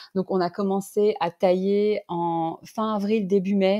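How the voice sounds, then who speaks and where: Pitch movement is kept fairly flat. The recording is dry and close-miked, free of echo. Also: woman. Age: 30s. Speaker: winemaker. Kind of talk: interview. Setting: podcast. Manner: halting.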